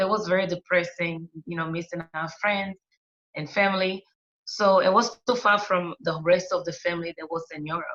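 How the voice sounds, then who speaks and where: A woman speaks at a moderate pace with a non-native accent. Her fairly low voice has a bright, sharp tone. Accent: noticeable foreign. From Angola. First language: Portuguese. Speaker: interview guest. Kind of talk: casual interview. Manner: halting, frequent fillers.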